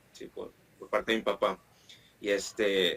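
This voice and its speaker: A man with a northern Mexican accent talks at a moderate pace. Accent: northern Mexican (norteño) Spanish. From Mexico, Monterrey (northeast). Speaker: Spanish teacher. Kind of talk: interview.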